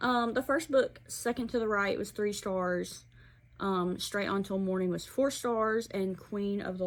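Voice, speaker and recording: With an Alabama accent, a woman speaks with ordinary pitch variation. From Alabama, US South. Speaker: book reviewer. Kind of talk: casual book review vlog.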